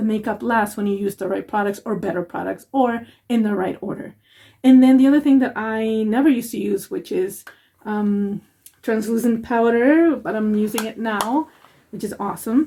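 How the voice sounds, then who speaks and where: With a non-native accent, a woman speaks at a moderate pace in a fairly high, somewhat breathy voice with a dark, mellow tone and ordinary pitch variation. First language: not English. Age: 40s. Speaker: makeup vlogger. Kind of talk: makeup tutorial. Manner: rambling, casual.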